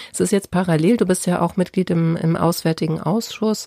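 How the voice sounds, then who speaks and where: A woman speaks at a fairly low pitch with a dark, mellow tone and fairly even intonation. The sound is dry and close, with no echo. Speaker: podcast host, journalist. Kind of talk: interview.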